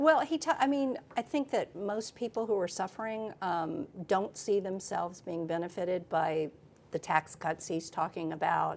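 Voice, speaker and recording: A woman with an American accent talks at a medium pitch, her voice making very wide pitch swings. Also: moderate pace. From Texas. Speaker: political reporter. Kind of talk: interview conversation.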